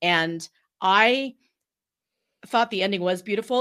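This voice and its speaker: A woman's bright, sharp tone with lively intonation at a moderate pace, on a very clean recording with a silent background. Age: 50s. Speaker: podcast guest. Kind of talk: casual chat.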